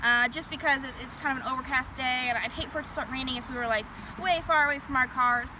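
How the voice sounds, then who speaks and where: A raised, projected female voice, high in pitch with ordinary pitch variation, at a very fast pace over noticeable background noise. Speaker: tour guide. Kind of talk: guided tour talk. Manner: not loud.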